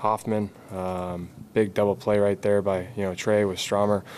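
A man with a fairly low pitch speaks in a monotone, flat intonation over light background noise. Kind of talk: interview answer. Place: hall. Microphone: podium.

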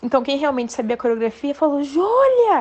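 You can hear noticeable background noise. A woman's voice comes through it. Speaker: dancer telling a story. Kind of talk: personal anecdote, recorded audio.

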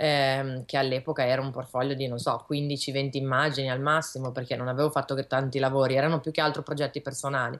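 A woman speaks very fast in a very deep, low pitch, with hardly any pauses. Her intonation is monotone and flat over a quiet background. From Milan, northern Italy. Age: young. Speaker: illustrator; guest. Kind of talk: interview. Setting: video call from her studio. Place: home room. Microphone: video call.

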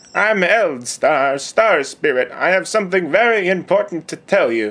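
Putting on a character voice, a man speaks with a high pitch at a moderate pace. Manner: solemn, pleading.

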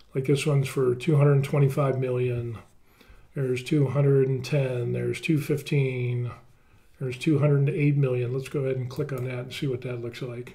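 Speaking at a very slow pace, a man uses a flat, monotone delivery in a dark, mellow, somewhat breathy tone. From United States. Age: 50s. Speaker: YouTuber. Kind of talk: screen-share tutorial; tutorial. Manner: casual, with many fillers. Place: home room.

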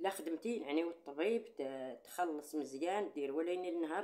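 A woman's dark, mellow voice, fairly low in pitch, with lively intonation. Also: quiet background. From Morocco. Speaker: YouTuber. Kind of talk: casual monologue to viewers; casual vlog chat. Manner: animated. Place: home room. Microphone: phone near.

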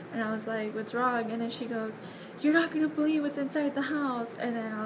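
Ordinary pitch variation from a female speaker, with noticeable background noise behind her. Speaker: vlogger. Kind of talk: casual vlog chat. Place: home room. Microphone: phone near.

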